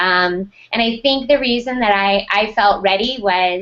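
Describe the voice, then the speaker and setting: She has a plain, everyday voice with an American accent and a fairly high pitch. Her pitch variation is ordinary, and the background is quiet. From United States. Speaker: school technology director. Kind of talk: interview.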